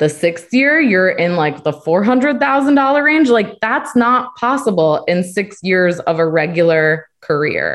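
A woman with an American accent talks at a medium pitch, her pitch swinging very widely. Her loudness stays very even, and she hardly pauses. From US Northeast. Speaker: travel community manager. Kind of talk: casual panel chat. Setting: video call.

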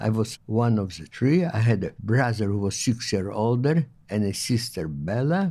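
A man speaks with a fairly low pitch and a dark, mellow tone in an Eastern European accent, on a very clean recording with a silent background. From Poland/Lithuania (Eastern Europe). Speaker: Holocaust survivor. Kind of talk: testimony. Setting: in-person interview at a museum. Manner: halting.

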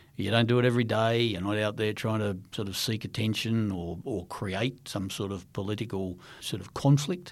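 Fairly low-pitched, a man with an Australian accent speaks at a moderate pace with ordinary pitch variation and hardly any pauses, in a very clean recording with a silent background. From Western Australia, Perth. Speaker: former intelligence chief. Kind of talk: interview. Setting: studio.

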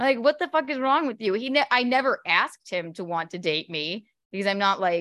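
With an American accent, a woman speaks at a fairly quick pace in a bright, sharp tone. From US South. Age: 30s. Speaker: comedian. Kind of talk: casual chat. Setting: video call.

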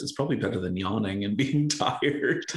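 A man's intonation is lively, and his voice is somewhat breathy. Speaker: podcast host. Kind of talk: casual chat.

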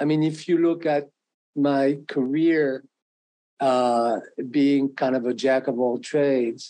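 In a French accent, a man talks at a very slow pace, his fairly high voice dark and mellow in tone with ordinary pitch variation. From France. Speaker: arranger and pianist. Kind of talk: interview. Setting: video call. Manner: halting.

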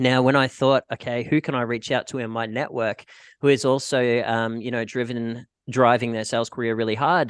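A man with an Australian accent talks at a medium pitch in a flat, monotone way. The sound is dry and close with no echo, over a quiet background. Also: moderate pace. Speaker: podcast host and packaging sales rep. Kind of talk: casual interview chat.

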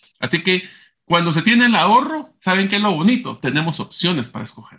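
A man's bright, sharp tone at a fairly quick pace against a quiet background. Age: 40s. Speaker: podcast co-host. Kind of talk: casual chat.

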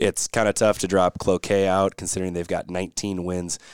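In an Upper Midwest accent, a man talks at a fairly quick pace with a very deep, low pitch, recorded very cleanly against a silent background, with a dry, close sound and no echo. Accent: Upper Midwest American. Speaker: podcast co-host covering girls high school hockey. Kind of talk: casual chat. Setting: home studio.

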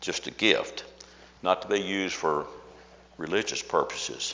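Noticeable background noise surrounds a man who speaks at a moderate speed. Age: old. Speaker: Sunday school teacher. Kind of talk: Bible study lesson. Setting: classroom with audience.

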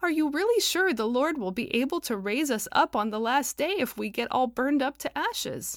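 A woman puts on a character voice, pitched high and shaky. She talks at a fairly quick clip with hardly any pauses. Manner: worried, questioning.

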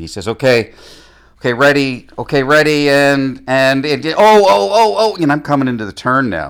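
Very wide pitch swings in a Canadian accent. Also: man. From Ontario, Canada (Mississauga). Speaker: stuntman and stunt driver. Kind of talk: casual chat.

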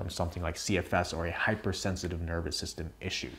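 A somewhat breathy man speaks at a fairly quick pace in a very clean recording with a silent background. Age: 20s. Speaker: health coach and video creator. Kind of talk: direct-to-camera talk video. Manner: casual, conversational.

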